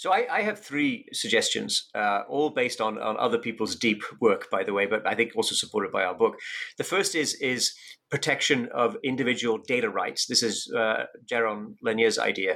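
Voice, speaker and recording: A man with a British accent talks at a moderate pace. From UK. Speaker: economics professor and author. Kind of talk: interview.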